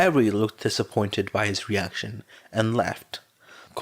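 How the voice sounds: The speaker uses a natural reading voice. It stays that way throughout.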